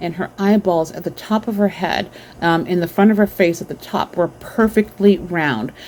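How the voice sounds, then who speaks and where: A woman's dark, mellow tone at medium pitch, with fairly even intonation and a moderate pace. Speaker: vlogger sharing dreams and visions. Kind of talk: casual monologue. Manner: halting, many filler ums.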